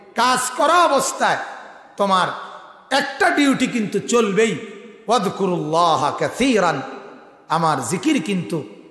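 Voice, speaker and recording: A man's high voice with very wide pitch swings, in audible room echo. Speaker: Islamic preacher. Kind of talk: sermon. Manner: fiery, impassioned. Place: stage. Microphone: podium.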